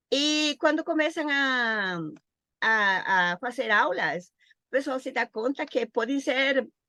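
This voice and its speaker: In a Costa Rican accent, a woman speaks very slowly in a high, bright, sharp voice with lively intonation. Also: dry, close sound with no echo, quiet background. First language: Spanish (speaking Portuguese). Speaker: Portuguese teacher. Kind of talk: interview. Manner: halting.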